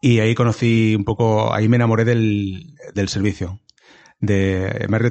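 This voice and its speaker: A man's fairly low voice at a fairly slow pace, with fairly even intonation and very even loudness. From Valencia region, Spain (small town). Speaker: comedian. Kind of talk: casual interview chat. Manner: halting, many repetitions.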